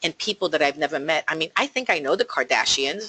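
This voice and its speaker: A woman with a strong New Jersey accent has a bright, sharp tone and fairly low pitch, recorded with a dry, close sound and no echo. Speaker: real estate agent. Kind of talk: talk to a team of agents. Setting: office, call with remote listeners.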